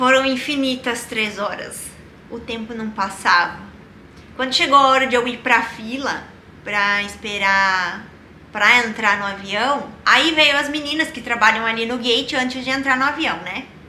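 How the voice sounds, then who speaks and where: A woman's normal speaking voice, fairly high in pitch, with ordinary pitch variation and a fairly slow pace. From Rio Grande do Sul, Brazil. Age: 20s. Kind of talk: casual personal storytelling to camera.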